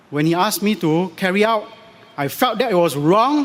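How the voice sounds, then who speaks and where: With noticeable background noise behind him, a man talks at a high pitch with very wide pitch swings. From Singapore. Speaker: election candidate. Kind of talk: political rally speech.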